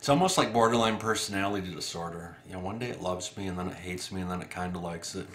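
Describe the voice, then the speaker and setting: Room echo is audible around a man's voice. His pitch is very deep and low, with fairly even intonation. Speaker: vlogger with a mental health condition. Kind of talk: casual vlog monologue. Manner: relaxed, slightly slurred; hesitant, many fillers.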